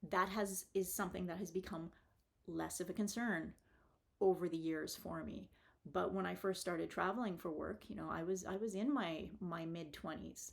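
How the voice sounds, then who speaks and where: Vocal fry, a moderate pace, and fairly even intonation. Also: woman, medium pitch for a woman. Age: 50s. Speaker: vlogger and engineer. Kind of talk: casual vlog monologue. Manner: halting, many repeated words and fillers.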